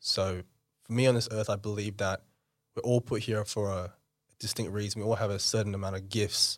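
A man with an Australian accent talks in a fairly low pitch on a very clean recording with a silent background. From Australia (Western Sydney), born in India. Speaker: entrepreneur. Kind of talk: casual interview.

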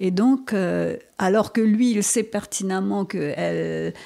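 A woman talks at a very slow pace. The recording is very clean, with a silent background. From Mauritius. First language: Mauritian Creole (speaking French). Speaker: novelist and poet. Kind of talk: interview.

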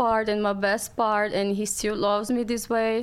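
A woman speaks with a Brazilian Portuguese accent at a fairly slow pace. Her pitch is fairly high, and her intonation is fairly even. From Brazil, Rio de Janeiro. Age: 20s. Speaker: podcast guest. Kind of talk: casual chat.

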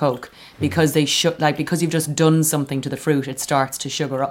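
A woman with an Irish accent speaks very fast in a very deep, low pitch. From Ireland. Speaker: comedian. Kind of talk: casual chat.

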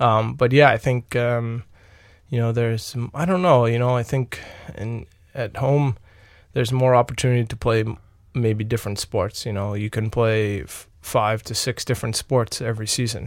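On a very clean recording with a silent background, a man with an American accent speaks at a medium pitch, a moderate pace and fairly even intonation. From Long Island, New York. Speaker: ice hockey player. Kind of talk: interview. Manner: halting, many fillers.

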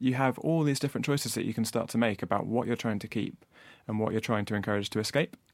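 This is a man talking at a very fast pace. His pitch varies in an ordinary way. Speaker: inventor of fishing safety technology. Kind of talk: interview. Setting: studio.

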